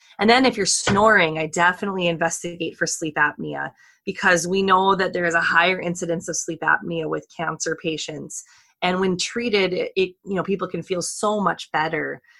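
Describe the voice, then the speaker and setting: Using a bright, sharp tone with vocal fry, a woman talks at a fairly quick pace and fairly low pitch. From North Dakota. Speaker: medical oncologist. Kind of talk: interview.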